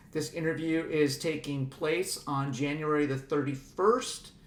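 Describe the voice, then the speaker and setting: With ordinary pitch variation, the man speaks in a fairly high voice. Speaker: oral history interviewer. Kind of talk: interview questions.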